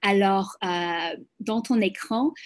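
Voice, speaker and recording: At a very slow pace, a woman speaks with a non-native accent. Her pitch varies in an ordinary way. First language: English (speaking French). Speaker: global health program manager. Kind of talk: webinar presentation. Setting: video call. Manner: halting, many hesitations.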